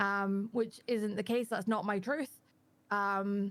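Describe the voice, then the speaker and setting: A woman speaks in a Scottish accent. Her pitch varies in an ordinary way. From Scotland. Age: 20s. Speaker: panel guest, community manager. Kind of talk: casual chat. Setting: live stream panel.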